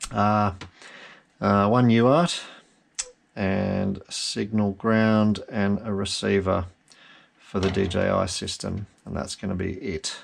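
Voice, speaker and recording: With an Australian accent, a man speaks at a fairly slow pace, leaving long, frequent pauses. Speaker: FPV drone hobbyist. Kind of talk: casual build tutorial talk to camera. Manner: dry, rambling.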